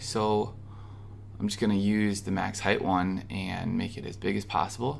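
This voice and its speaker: A man with an American accent, fairly low in pitch, at a moderate pace with audible room echo. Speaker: web design tutorial creator. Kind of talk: screen-recorded software tutorial. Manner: casual, conversational.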